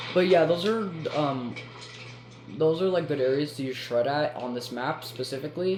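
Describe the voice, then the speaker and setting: With music in the background and audible room echo, a man speaks at a moderate pace in a fairly high pitch with ordinary pitch variation and long, frequent pauses. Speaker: gaming content creator. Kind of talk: gameplay tutorial commentary. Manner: halting, many fillers and restarts.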